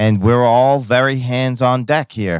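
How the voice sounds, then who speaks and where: A man speaks in an ordinary speaking voice at a medium pitch and a fairly slow pace. The recording is very clean and dry, close-miked with no echo and a silent background. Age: 50s. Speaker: podcast host and baker. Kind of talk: casual interview.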